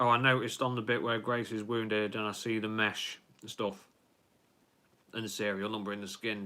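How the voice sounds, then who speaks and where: In an English accent, a man speaks fairly low in pitch with a bright, sharp tone. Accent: English accent, viewer asked if Yorkshire. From Lincolnshire, England. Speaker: YouTuber, film fan live streamer. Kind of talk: live stream chat, reading viewer comments. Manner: casual, hesitant with fillers.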